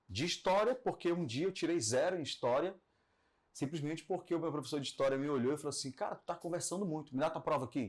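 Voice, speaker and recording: A man with a fairly high voice talks very fast with lively intonation, on a very clean recording with a silent background. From Belém, Pará, northern Brazil. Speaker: radio broadcaster and entrepreneur. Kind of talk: podcast interview. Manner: conversational, with fillers and self-corrections.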